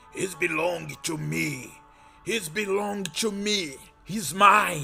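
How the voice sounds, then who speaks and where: Putting on a raspy, high-pitched character voice, a man speaks very slowly over faint background music. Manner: possessive, menacing.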